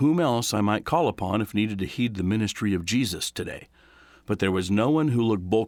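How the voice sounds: Natural voice for reading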